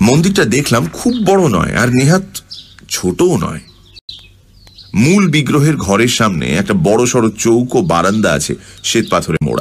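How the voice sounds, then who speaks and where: A man at medium pitch with very wide pitch swings. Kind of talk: radio story narration, first-person.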